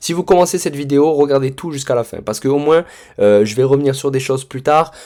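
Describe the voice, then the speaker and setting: On a very clean recording with a silent background, a man with a dark, mellow tone and fairly high pitch talks at a very fast pace. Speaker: trading mentor. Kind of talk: tutorial. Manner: casual, hesitant with many fillers.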